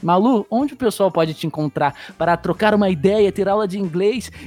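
Fairly quick, high male speech with ordinary pitch variation, set against noticeable background noise. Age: 20s. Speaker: podcast host. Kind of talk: casual chat.

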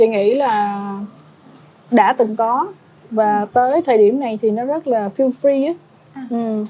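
A woman speaks at a fairly slow pace and fairly high pitch, with ordinary pitch variation. Long, frequent pauses break up her speech, with noticeable background noise. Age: 30s. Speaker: travel blogger. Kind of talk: casual chat.

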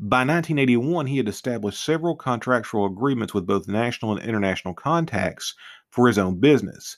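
In a very clean recording with a silent background, a man with a medium pitch and an unremarkable speaking voice talks at a fairly quick pace with lively intonation. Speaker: true crime podcaster. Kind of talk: true-crime narration, read-aloud case summary. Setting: studio podcast. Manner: formal and measured, with occasional stumbles and self-corrections.

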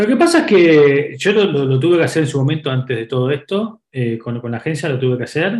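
Somewhat breathy, a man's voice moves along at a fairly quick clip. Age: 40s. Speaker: startup executive. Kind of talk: interview. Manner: hesitant with frequent repetitions and fillers.

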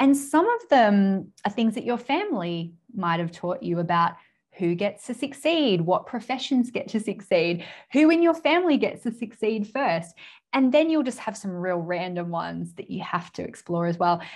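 A woman with an Australian accent speaks at a moderate pace, her fairly high, somewhat breathy voice making very wide pitch swings. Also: quiet background. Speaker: business mentor and author. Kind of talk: interview.

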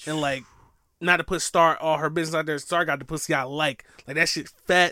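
The man's tone is bright and sharp, captured on a very clean recording with a silent background. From US South. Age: 20s. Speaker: podcast co-host. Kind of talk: casual chat.

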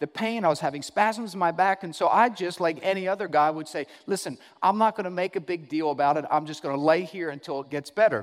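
An animated voice races along at a very fast pace with ordinary pitch variation. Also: man, high pitch for a man. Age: 30s. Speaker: pastor. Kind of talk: sermon.

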